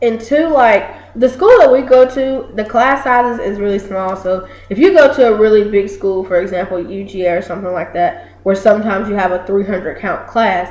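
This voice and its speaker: Over noticeable background noise and audible room echo, a woman speaks at a medium pitch. Her tone is animated, with lively intonation and a fairly quick pace. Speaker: college student, video co-host. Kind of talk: casual chat. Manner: loud.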